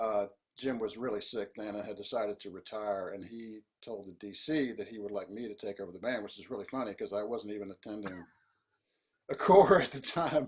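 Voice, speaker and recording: A man with an American accent talks at a fairly quick pace in an unremarkable speaking voice, fairly low in pitch. His loudness swings widely, while his pitch varies in an ordinary way. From US South. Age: 60s. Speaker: composer and band leader. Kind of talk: interview.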